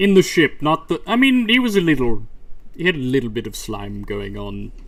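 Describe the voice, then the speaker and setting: A man performs a put-on character voice at a moderate pace. His loudness swings widely. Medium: actual play. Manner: brief, proper.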